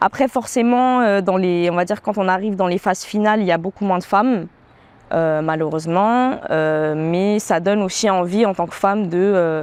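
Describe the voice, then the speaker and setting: Speech comes at a moderate pace. The pitch variation is ordinary. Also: woman, medium pitch for a woman. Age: 20s. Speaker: professional dancer and beatmaker. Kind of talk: interview. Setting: outdoor terrace. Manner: hesitant, many filler sounds.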